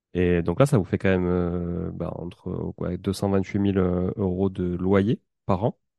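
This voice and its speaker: In a Toulouse accent, a man with a very deep, low pitch and a dark, mellow tone talks at a very slow pace with fairly even intonation, recorded dry and close with no echo against a quiet background. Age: 30s. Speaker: podcast host and property investor. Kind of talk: casual interview.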